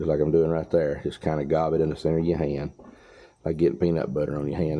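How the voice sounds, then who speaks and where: A man with a Southern US accent, very deep and low in pitch, at a fairly quick pace with fairly even intonation. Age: 60s. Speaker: farmer and mechanic. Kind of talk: tutorial. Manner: casual, folksy.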